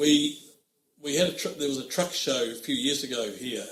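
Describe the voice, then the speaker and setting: Fairly quick in pace, a man speaks at a fairly high pitch. His tone is bright and sharp. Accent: New Zealand. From New Zealand, Oamaru. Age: 60s. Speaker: trucking company managing director. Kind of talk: interview.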